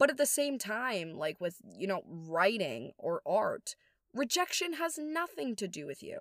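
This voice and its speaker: An animated, high-pitched woman's voice with very wide pitch swings, in a very clean recording with a silent background and a dry, close sound free of echo. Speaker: podcast host. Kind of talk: personal monologue. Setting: home recording with headphones.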